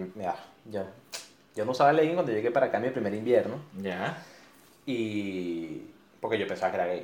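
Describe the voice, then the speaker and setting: There is audible room echo around this man's voice. He speaks at a medium pitch and moderate pace with lively intonation. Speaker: podcast co-host. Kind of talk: casual chat.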